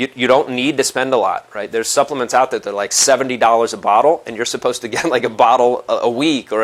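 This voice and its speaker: Noticeable background noise sits under a man's animated, medium-pitched voice as he speaks at a very fast pace. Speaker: health practitioner and online course teacher. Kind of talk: sales pitch.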